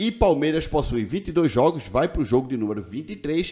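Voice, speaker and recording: A fairly high-pitched male voice with vocal fry over a quiet background. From Brazil. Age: 40s. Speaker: football YouTuber. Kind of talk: casual video commentary. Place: home room. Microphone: studio mic.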